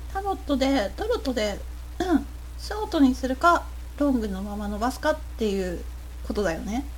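The speaker keeps a moderate pace with long, frequent pauses amid noticeable background noise. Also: woman. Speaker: podcast host. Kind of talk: casual chat. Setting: live stream.

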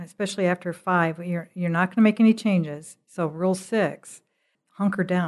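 Against a quiet background, a woman with an unremarkable speaking voice talks at a moderate pace, her medium pitch held in fairly even intonation. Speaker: podcast host. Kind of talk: podcast intro and interview.

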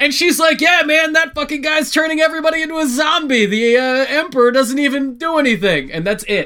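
Using a raised, projected voice at extremely high pitch, a man sounds bright and sharp and animated, keeping a fairly quick pace with hardly any pauses and ordinary pitch variation. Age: 30s. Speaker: podcast host. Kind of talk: casual chat.

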